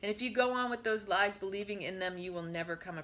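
An unforced voice reads the text aloud.

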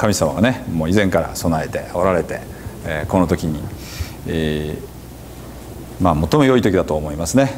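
With a Hiroshima accent, a man speaks in a very deep, low pitch with lively intonation and long, frequent pauses over light background noise. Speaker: pastor. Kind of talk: church sermon. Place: church. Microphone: lapel.

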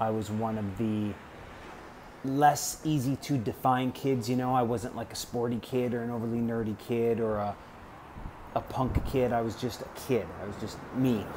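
Amid audible room echo, a man with an American accent speaks at medium pitch and a moderate pace with fairly even intonation. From Wisconsin, US Midwest. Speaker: vlogger. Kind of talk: casual storytelling monologue. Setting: outdoors, apartment balcony hallway.

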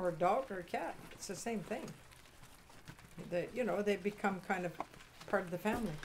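Light background noise accompanies a woman with a rural Canadian accent. She leaves long, frequent pauses. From Eastern Ontario, Canada; Ontario, Canada. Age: 80s+. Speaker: sheep farmer; interviewee. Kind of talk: interview. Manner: halting.

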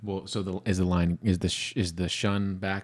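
Here is an unremarkable speaking voice at a moderate pace, with fairly even intonation and a quiet background. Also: man. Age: 30s. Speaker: podcast co-host. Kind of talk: casual chat. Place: studio. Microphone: studio mic.

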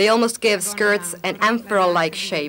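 A woman speaks at a moderate pace in an upbeat, enthusiastic tone. Her pitch varies in an ordinary way over light background noise. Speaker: fashion commentator. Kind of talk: 1984 fashion show narration, scripted voiceover. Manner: formal, polished, brisk announcer-style delivery; upbeat, enthusiastic, lively tone. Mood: calm, appreciative. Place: studio.

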